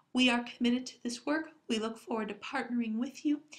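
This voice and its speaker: A woman puts on a squeaky character voice with a high pitch. She moves at a fairly quick pace with fairly even intonation. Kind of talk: formal, professional presentation.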